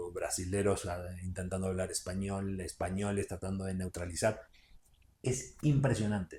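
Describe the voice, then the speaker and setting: A man with a Rioplatense accent speaks at a moderate pace in a fairly low pitch, his dark, mellow tone somewhat breathy and his pitch varying in an ordinary way. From Uruguay. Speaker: actor. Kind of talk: podcast interview.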